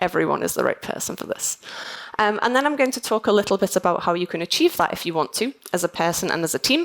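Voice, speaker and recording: In a Liverpool accent, a woman talks at a very fast pace with a medium pitch and very wide pitch swings, the sound dry and close with no echo. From northern England, Liverpool. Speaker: conference keynote speaker, software testing manager. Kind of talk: conference keynote talk. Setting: stage with audience. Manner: animated.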